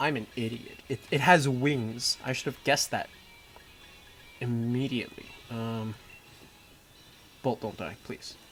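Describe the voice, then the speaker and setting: Music plays in the background as the speaker talks at a fairly slow pace. The intonation stays fairly even, with long, frequent pauses. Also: man, medium pitch for a man. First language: Mandarin. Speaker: gaming streamer. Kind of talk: casual gameplay livestream commentary. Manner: casual, with frequent fillers.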